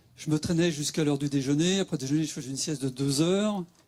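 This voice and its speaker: A man does the talking. His pitch moves in a fairly even line. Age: 60s. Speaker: patient sharing experience. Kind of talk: testimony. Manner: halting.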